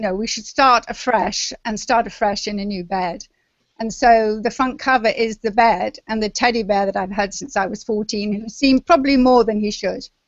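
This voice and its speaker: A woman with an English accent talks at a moderate pace in a fairly high pitch, her intonation fairly even. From London, England. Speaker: memoir author. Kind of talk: interview. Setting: video call.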